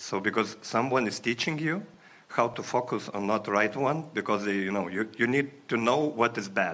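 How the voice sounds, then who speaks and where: A man with a non-native accent speaks with a bright, sharp tone and ordinary pitch variation. His pace is moderate. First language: not English. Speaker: audience member. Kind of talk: workshop Q&A. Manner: halting.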